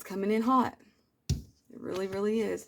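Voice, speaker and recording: At a moderate pace, a woman speaks. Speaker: tarot reader. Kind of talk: tarot reading. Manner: loud; animated.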